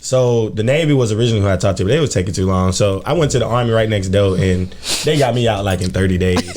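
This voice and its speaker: A man talks at a very fast pace with very even loudness, a fairly low pitch and ordinary pitch variation, amid audible room echo and noticeable background noise. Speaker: podcast co-host, soldier. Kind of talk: casual chat.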